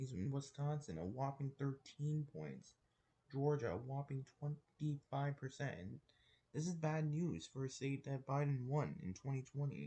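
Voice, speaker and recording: Fairly high in pitch for a man, somewhat breathy, with a dark, mellow tone. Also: ordinary pitch variation, moderate pace. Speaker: political commentary youtuber. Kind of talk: casual commentary over poll maps. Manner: halting, many restarts and fillers; casual and informal.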